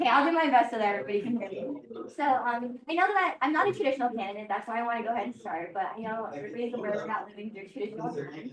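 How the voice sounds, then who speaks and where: Over noticeable background noise, a woman talks at a very fast pace with hardly any pauses, using a fairly high pitch and very wide pitch swings. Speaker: mayoral candidate. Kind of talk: campaign speech. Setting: pub meeting with audience. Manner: soft-spoken. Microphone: no microphone, hard to hear.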